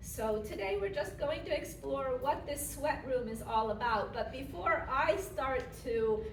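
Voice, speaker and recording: Someone with an American accent speaks very slowly with ordinary pitch variation, amid noticeable background noise and audible room echo. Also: woman. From Florida, Lantana Lake Worth area. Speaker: yoga instructor and library presenter. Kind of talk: public presentation. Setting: library talk with live audience.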